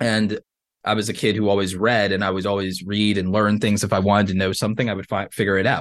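A man speaks at a fairly quick pace with a fairly low pitch and fairly even intonation, in a plain, everyday voice. The background is quiet. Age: 30s. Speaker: YouTuber and creator economy coach. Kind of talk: interview.

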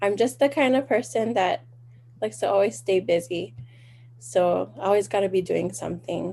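A woman speaks at a medium pitch with a Hawaiian accent. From Hawaii, windward Oahu. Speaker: small business owner, genealogy family trees. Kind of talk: interview.

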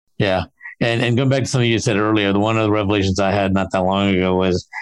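This is an unremarkable speaking voice from a man. His pitch is fairly low and his intonation fairly even. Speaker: podcast host. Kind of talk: interview, conversational.

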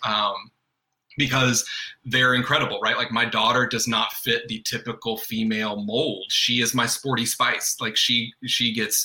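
A man with an American accent, medium pitch and a fairly slow pace. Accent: faint Southern, occasionally surfaces. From US South, North Carolina. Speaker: guest, father and artist. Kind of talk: casual chat.

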